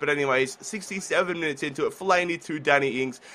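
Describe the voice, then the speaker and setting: A man's fairly high voice with a bright, sharp tone and a fairly quick pace. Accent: Australian. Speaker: gaming YouTuber. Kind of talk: gameplay commentary. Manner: relaxed, chilled.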